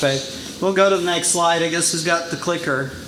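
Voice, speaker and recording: High-pitched, a man speaks over noticeable background noise. Audible room echo fills the recording. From Brazil. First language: Portuguese. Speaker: title insurance sales rep. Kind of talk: business presentation. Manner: casual, many fillers.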